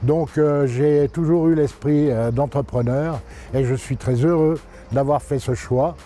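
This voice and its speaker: A man's fairly high voice, fairly slow, with fairly even intonation and music in the background. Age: 60s. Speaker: company director. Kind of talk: interview monologue. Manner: hesitant, many fillers.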